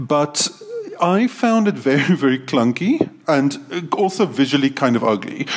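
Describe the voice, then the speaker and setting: There is noticeable background noise behind the speaker. A man with a high pitch talks at a fairly slow pace. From South Africa. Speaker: university academic, podcast co-host. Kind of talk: casual discussion.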